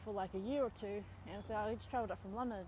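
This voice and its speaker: A woman with an Australian accent at a very fast pace, medium pitch and fairly even intonation. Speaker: vlogger. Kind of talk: casual monologue. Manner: conversational with fillers.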